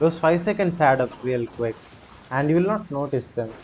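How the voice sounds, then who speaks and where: This man has an Indian accent and ordinary pitch variation. He talks at a moderate pace. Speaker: gaming streamer. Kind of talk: live gameplay commentary. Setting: live stream. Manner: animated.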